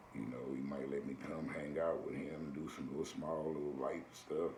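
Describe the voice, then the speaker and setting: Moderate-paced speech from a man with an American accent, amid noticeable background noise and audible room echo. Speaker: video blogger. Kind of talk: casual advice monologue.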